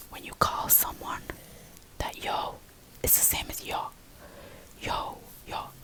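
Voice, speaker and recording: Someone whispers at a fairly slow pace, leaving long, frequent pauses, with noticeable background noise behind. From southern Albania. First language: Albanian. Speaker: ASMR creator. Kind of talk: ASMR whisper tutorial. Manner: whispering; slow, repetitive.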